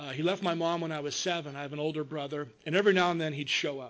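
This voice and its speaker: This man talks at a fairly quick pace with an American accent. His pitch sits fairly high. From US West Coast, Long Beach, California. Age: 50s. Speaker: recovering alcoholic speaker. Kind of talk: recovery meeting testimony. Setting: treatment hospital meeting room with audience. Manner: casual, conversational.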